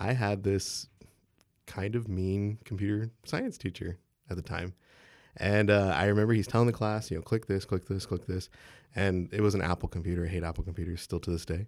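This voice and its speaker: A man with an American accent speaks at a fairly quick pace in an unremarkable speaking voice, fairly low in pitch with fairly even intonation. The recording is very clean, with a silent background. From Texas (San Marcos). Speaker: software developer. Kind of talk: interview.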